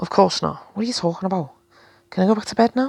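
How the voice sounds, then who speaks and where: A female-sounding, put-on character voice goes at a very fast pace. It is raspy, with a middle pitch. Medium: read story.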